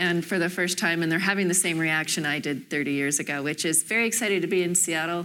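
A woman's fairly low, bright, sharp voice at a very fast pace, with fairly even intonation. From Canada, Toronto. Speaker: real estate developer. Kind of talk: panel discussion. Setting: stage with audience.

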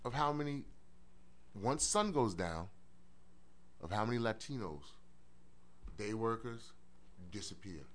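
Speaking at a fairly slow pace with long, frequent pauses, a man with a New York accent uses lively intonation at a medium pitch. Room echo is audible. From Brooklyn, New York. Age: 40s. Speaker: former police officer and social work student. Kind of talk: casual chat. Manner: halting, many repeated words.

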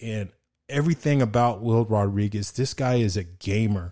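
This is an ordinary speaking voice at a moderate pace, with ordinary pitch variation. The background is quiet. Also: man. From El Paso, Texas. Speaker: sports podcast host, former college football player. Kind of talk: casual chat.

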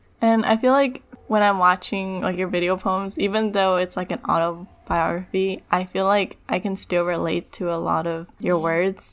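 This is a plain, everyday voice at a moderate pace. The intonation stays fairly even. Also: woman. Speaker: podcast co-host. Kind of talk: casual interview.

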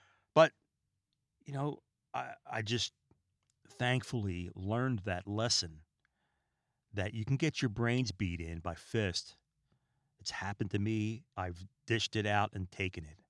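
Very clean and silent in the background, the recording has a dry, close sound with no echo. A man with a fairly low pitch and ordinary pitch variation speaks with long, frequent pauses. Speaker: podcast host. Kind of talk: solo podcast monologue. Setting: home recording room. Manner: calm, relaxed; fast-paced at times.

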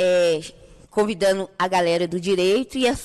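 The delivery comes at a moderate pace with fairly even intonation. It is an ordinary speaking voice. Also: woman. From Brazil, Santa Cruz favela. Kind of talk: podcast interview.

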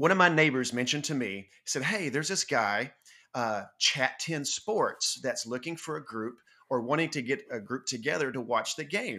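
On a very clean recording with a silent background, a man with a bright, sharp tone and a fairly high pitch talks at a moderate pace with lively intonation. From North Georgia. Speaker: fan podcast host. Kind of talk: casual chat.

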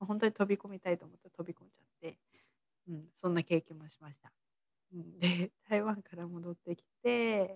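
Recorded with a dry, close sound with no echo, a woman with a normal speaking voice talks at a moderate pace with a fairly low pitch, fairly even intonation and big swings in loudness. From Tochigi, Japan. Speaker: mindset coach and podcaster. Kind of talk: solo podcast monologue. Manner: casual, many fillers. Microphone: work laptop, may be hard to hear.

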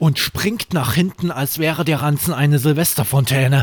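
This man talks at a fairly slow pace with a fairly high pitch and ordinary pitch variation. The sound is dry and close with no echo, and his voice is somewhat breathy. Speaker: audiobook narrator. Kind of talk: bedtime story reading aloud. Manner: calm, soothing, slow.

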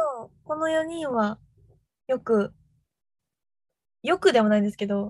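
A woman speaks at a high pitch with big pitch swings. Her tone is slightly mellow and her pace fairly slow.

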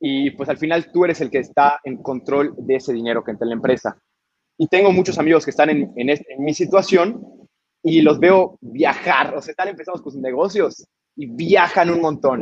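Pitch varies in an ordinary way as the words move along at a moderate tempo. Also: man, fairly high pitch for a man, big swings in loudness. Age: 20s. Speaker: brewery director. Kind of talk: interview. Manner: talkative, many fillers.

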